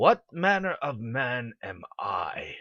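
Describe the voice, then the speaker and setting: A man puts on a raspy character voice. The sound is dry and close, with no echo. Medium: audio drama. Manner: cool, calculating.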